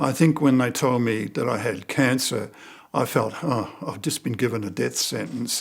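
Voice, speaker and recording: A man's voice with vocal fry, ordinary pitch variation and a moderate pace. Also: medium pitch for a man. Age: 70s. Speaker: cancer patient. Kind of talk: testimony. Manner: halting.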